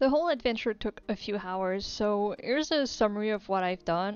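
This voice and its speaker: With music in the background, a woman talks at a medium pitch and a moderate pace, using ordinary pitch variation. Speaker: gaming video creator. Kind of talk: casual gameplay commentary.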